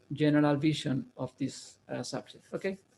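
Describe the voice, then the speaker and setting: With a non-native accent, a man speaks fairly slowly at a fairly high pitch. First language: Spanish. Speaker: university programming lecturer. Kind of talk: lecture. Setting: online video class. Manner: halting, with many fillers and repeats.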